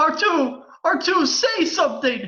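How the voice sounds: A man does a put-on character voice at an extremely high pitch, bright and sharp in tone, with big pitch swings. He speaks at a fairly slow pace, and room echo is audible.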